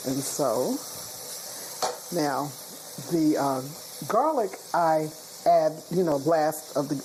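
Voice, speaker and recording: Noticeable noise sits in the background. The voice carries an American accent. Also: woman. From US Mid-Atlantic, Prince George's County, Maryland. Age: 60s. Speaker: home cook, cooking competition contestant. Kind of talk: interview and cooking demonstration. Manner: casual, with fillers and repetitions.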